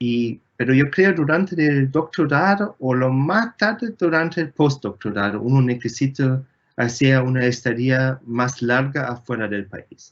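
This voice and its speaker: A man with a German accent, at a fairly slow pace with hardly any pauses. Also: medium pitch for a man, lively intonation. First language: German (speaking Spanish). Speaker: astronomer, engineer. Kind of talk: Q&A interview. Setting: video call from home. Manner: halting, many fillers.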